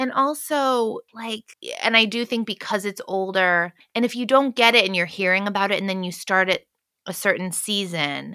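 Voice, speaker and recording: Recorded dry and close with no echo and a very clean, silent background, a woman with an American accent talks at a medium pitch with ordinary pitch variation and a bright, sharp tone. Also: moderate pace. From United States. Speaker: singer-songwriter. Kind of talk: casual chat.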